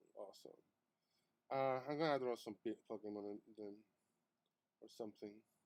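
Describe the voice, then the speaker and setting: A man with a non-native accent talks at a moderate pace and a medium pitch, with ordinary pitch variation. He leaves long, frequent pauses. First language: not English. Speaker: artist streamer. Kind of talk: live stream chat while drawing. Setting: live stream. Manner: halting, many fillers.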